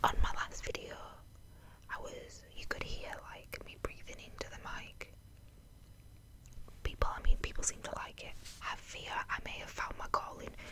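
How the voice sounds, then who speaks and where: Whispering comes at a moderate pace with long, frequent pauses and big swings in loudness. Noticeable background noise is present. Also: woman. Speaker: ASMR creator. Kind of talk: casual talk to camera. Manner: soft-spoken, quiet.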